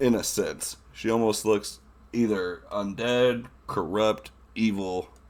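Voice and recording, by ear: Reading aloud in a natural voice is heard here.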